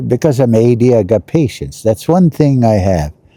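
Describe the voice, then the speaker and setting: A man's fairly low voice with a dark, mellow tone, very wide pitch swings and a fairly slow pace. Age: 80s+. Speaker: vlogger. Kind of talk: casual vlog monologue. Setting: outdoors. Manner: halting, many fillers.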